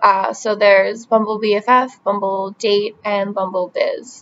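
A woman speaks in a monotone, flat intonation with an American accent. Light background noise can be heard. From US Northeast (New Jersey). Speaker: vlogger applying for a brand ambassador role. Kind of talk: application video monologue. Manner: casual with frequent fillers. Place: home room. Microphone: webcam.

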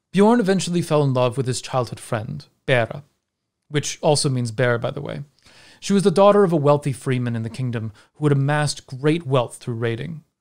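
Against a quiet background, a man talks at a fairly quick pace in an animated tone with ordinary pitch variation. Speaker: video creator and storyteller. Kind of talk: scripted narration of a Norse saga, told as a storytelling video essay. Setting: online video. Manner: animated, wry and conversational, with dry humour. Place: home room. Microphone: studio mic.

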